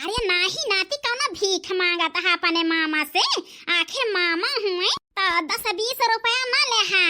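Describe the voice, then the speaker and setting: In a cartoonish character voice, a woman squeaks at an extremely high pitch with lively intonation, keeping her loudness very even at a fairly slow pace. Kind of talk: rustic Awadhi cartoon comedy. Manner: wheedling, scheming.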